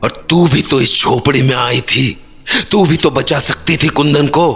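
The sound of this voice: Clear music plays behind a cartoonish character voice that talks at a fairly slow pace. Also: man.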